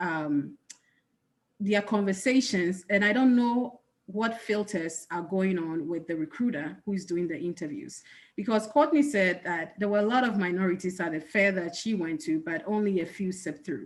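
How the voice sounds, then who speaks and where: A woman with a strong Ghanaian accent, medium pitch, lively intonation and a moderate pace. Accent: thick Ghanaian. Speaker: accountant, panelist. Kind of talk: panel discussion.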